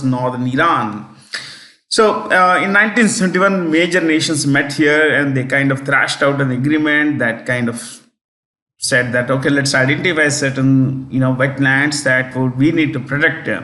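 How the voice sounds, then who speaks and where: Audible room echo surrounds a bright, sharp voice that moves at a moderate pace with ordinary pitch variation. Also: man. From South India, Telangana. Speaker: exam prep teacher. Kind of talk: lecture. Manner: hesitant, many fillers.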